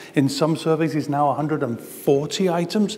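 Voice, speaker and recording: There is noticeable background noise and audible room echo. A man with a Gibraltarian accent speaks at a fairly high pitch. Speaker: talent management consultant. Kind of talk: conference presentation.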